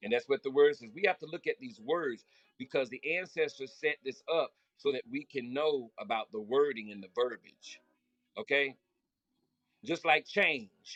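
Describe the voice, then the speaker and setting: Delivered in an animated tone at a moderate pace, the speech has a Southern US accent and a dry, close sound with no echo. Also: man, fairly high pitch for a man, lively intonation, big swings in loudness. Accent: country Southern. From Florida. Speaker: spiritual motivational speaker. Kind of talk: live stream talk. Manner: loud.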